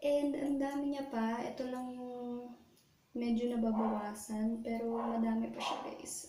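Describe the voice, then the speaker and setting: Over noticeable background noise and audible room echo, a soft-spoken woman with a high voice speaks at a fairly slow pace with fairly even intonation. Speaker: beauty vlogger. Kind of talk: makeup tutorial. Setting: bathroom. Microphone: echo in bathroom.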